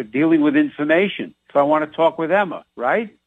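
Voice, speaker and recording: Speaking at a fairly quick pace, a man with a New York accent uses lively intonation and a fairly high pitch. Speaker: radio show guest, doctor.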